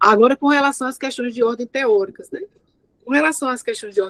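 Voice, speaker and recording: The sound is dry and close with no echo as a woman talks with lively intonation. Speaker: thesis examiner. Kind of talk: academic feedback at a thesis defense. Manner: fast.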